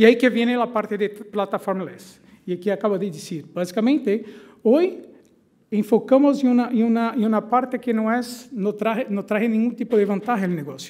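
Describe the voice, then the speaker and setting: Over a quiet background, a man with a Portuguese accent speaks at a moderate pace, his pitch high with ordinary variation. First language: Portuguese (speaking Spanish). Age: 40s. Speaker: tech company executive; conference presenter. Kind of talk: conference presentation. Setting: stage with audience. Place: hall.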